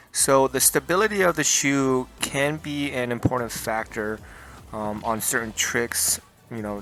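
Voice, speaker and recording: Music plays in the background as a man talks at a fairly slow pace. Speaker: skateboarder, shoe reviewer. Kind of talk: casual talk to camera. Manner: stuttering.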